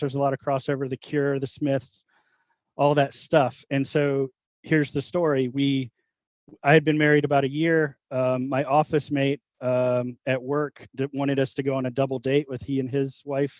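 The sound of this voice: A man's medium-pitched voice with a slightly mellow tone, little pitch movement and a moderate pace, in a dry, close sound with no echo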